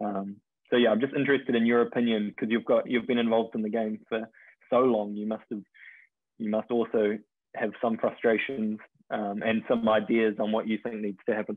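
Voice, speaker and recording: The speaker uses monotone, flat intonation at a fairly quick pace. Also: man. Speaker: futsal player and coach. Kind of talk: Q&A session question.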